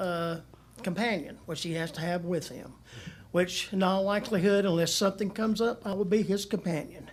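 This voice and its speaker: A man speaks in a Southern US accent at a high pitch. His intonation stays fairly even. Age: 70s. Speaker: resident speaking at public comment. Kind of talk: public comment. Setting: city council meeting at microphone.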